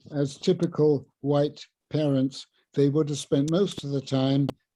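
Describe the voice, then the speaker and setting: Very slowly and in a dark, mellow tone, a man with a southern English accent speaks at a fairly high pitch. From southern England, Sussex. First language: Luganda. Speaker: professor emeritus of linguistics. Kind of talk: illustrated talk.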